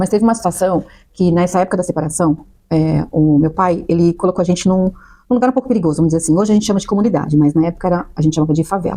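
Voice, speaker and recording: This voice has a dark, mellow tone, very even loudness and ordinary pitch variation at a very fast pace. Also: woman, fairly low pitch for a woman. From Brazil, São Paulo. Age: 40s. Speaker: nurse. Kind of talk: interview, life story testimony.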